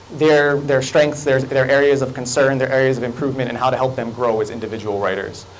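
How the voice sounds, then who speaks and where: Room echo is audible, along with noticeable background noise. The man speaking has a fairly high pitch. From Hawaii, Kahaluu on Oahu. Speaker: college English teacher and fiction writer. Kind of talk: conference talk. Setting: lecture room with audience, microphone. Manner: animated, gestures a lot.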